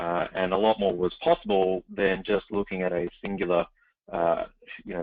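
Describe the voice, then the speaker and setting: A man's very deep, low voice in an Australian accent, flat and monotone throughout. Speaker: startup CEO. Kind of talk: webinar interview. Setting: webinar call.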